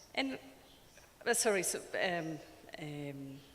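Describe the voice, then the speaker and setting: The speaker has a strong Ecuadorian accent and a very slow pace. Intonation is lively, and background noise is noticeable. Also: woman. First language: Spanish. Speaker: sociologist and anthropologist. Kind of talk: conference presentation. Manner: hesitant, many fillers.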